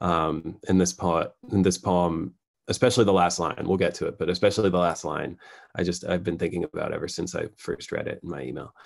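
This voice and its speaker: With an American accent, a man talks fairly quickly. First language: Farsi. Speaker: poet. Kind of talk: poetry reading. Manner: halting, many fillers.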